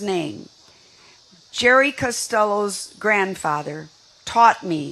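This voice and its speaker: A woman speaks with fairly high pitch and lively intonation. Noticeable background noise is present. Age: 80s+. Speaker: senior advocate. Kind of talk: rally speech.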